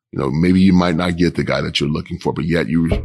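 With a very deep, low pitch and vocal fry, a man speaks at a fairly quick pace in an American accent. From Kansas City, Kansas. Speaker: police chief. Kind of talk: interview.

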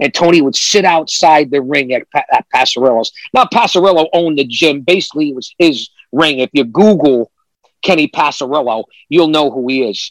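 The speech moves at a fairly quick pace with ordinary pitch variation. The sound is dry and close, with no echo. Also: man, fairly high pitch for a man. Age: 50s. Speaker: retired pro wrestler. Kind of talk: casual interview chat. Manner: animated.

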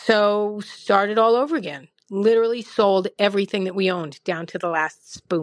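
A woman has an unremarkable speaking voice at a medium pitch with ordinary variation. She keeps a moderate pace with hardly any pauses against a quiet background. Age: 50s. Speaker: listener leaving a voicemail. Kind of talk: voicemail testimony.

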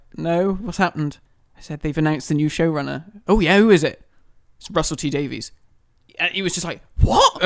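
The recording is very clean, with a silent background. A man speaks at a fairly quick pace in a high voice. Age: 20s. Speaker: podcast co-host. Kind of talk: casual chat.

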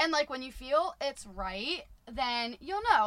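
A woman sounds animated over noticeable background noise. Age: 20s. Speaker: podcast guest, friend of host. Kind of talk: casual chat.

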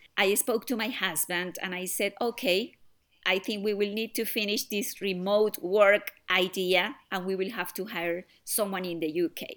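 A woman with a Spanish accent speaks at medium pitch and a moderate pace, with ordinary pitch variation. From Colombia. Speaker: software startup founder. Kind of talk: interview.

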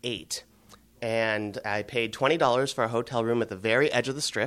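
This man has a plain, everyday voice with an American accent. His pitch sits in the medium range, with ordinary variation. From US Midwest, Cleveland. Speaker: baseball executive. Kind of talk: interview.

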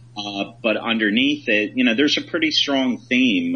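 There is noticeable background noise behind this man. He talks at a moderate pace with ordinary pitch variation. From Philadelphia area, then Michigan. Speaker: film director. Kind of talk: casual interview chat.

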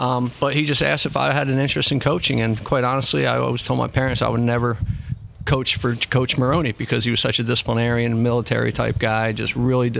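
Very fast and at medium pitch, a man speaks with ordinary pitch variation. His loudness stays very even. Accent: American. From New Jersey, Trenton. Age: 50s. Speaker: youth soccer director, former college coach. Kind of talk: casual interview. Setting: restaurant.

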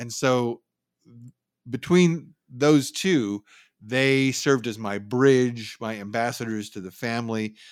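A man with a Californian accent speaks at a medium pitch and a fairly slow pace, with ordinary pitch variation, in a very clean recording with a silent background. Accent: Californian American. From San Francisco Bay Area, California. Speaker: news copy editor and writer. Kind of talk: interview.

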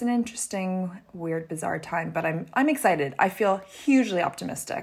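Using a normal speaking voice, a woman talks at a moderate pace with a medium pitch and lively intonation. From Canada. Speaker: fashion publisher and consultant. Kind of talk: casual interview.

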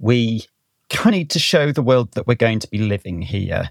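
With a North Welsh accent, a man talks at a fairly slow pace with ordinary pitch variation, in a dry, close sound with no echo. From North Wales. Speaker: botanist and conservation scientist. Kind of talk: casual interview conversation.

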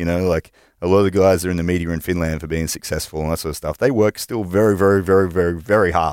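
Talking at a very fast pace, a man with an Australian accent has a very deep, low pitch and fairly even intonation. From Australia, New South Wales. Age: 30s. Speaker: gym owner and personal trainer. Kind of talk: interview. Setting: studio.

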